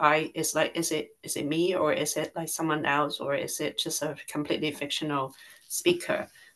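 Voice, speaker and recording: The woman's voice is very deep and low, with fairly even intonation. She speaks at a moderate pace against a quiet background. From Hong Kong. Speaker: poet. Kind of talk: poetry forum discussion. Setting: video call. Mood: calm, reflective. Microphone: video call.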